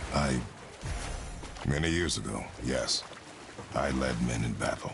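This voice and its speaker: Loud background noise under a put-on character voice from a man, delivered fairly slowly. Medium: machinima. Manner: terse, stern, clipped.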